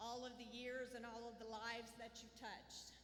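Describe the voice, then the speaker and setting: A woman with a Southern US accent speaks at a fairly high pitch, with audible room echo. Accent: southern drawl. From Southwest Missouri. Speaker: school administrator. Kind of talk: graduation ceremony speech.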